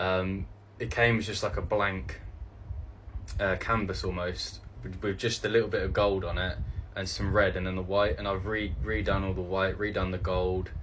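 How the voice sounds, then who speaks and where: With a British accent and vocal fry, the speaker keeps a fairly even intonation amid audible room echo. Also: man. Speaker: cosplayer content creator. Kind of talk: casual Q&A video. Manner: halting, many fillers.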